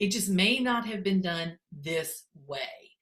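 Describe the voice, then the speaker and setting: With a plain, everyday voice, a woman speaks at a fairly slow pace, in a medium pitch with ordinary pitch variation. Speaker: education technology consultant. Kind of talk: conference presentation. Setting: virtual conference.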